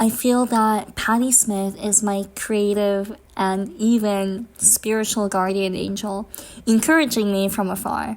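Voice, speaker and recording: A woman with an ordinary speaking voice speaks at a medium pitch with fairly even intonation. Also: fairly slow pace. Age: 20s. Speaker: vlogger. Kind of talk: personal vlog monologue.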